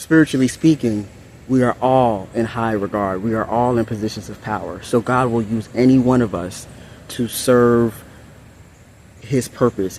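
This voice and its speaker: A man's medium-pitched voice at a moderate pace, fairly even intonation, with noticeable background noise. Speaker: ASMR and spiritual content creator. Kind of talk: spiritual message reading to camera. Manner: casual, conversational.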